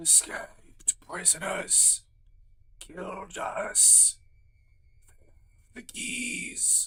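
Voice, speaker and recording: A raspy put-on character voice moves at a very slow pace. Long, frequent pauses break it up. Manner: eerie, ghostly.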